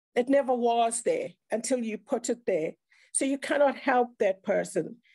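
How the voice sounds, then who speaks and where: Over a quiet background, a woman in a South African accent speaks at a fairly slow pace with a high pitch, ordinary pitch variation and a dark, mellow tone. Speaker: speaker sharing mental health experience; speaker. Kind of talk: online round table talk. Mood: earnest, reflective. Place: home room. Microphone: video call.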